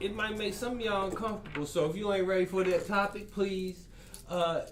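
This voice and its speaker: Amid noticeable background noise and audible room echo, a man talks at a very fast pace in a high pitch with fairly even intonation. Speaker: podcast host. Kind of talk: casual chat.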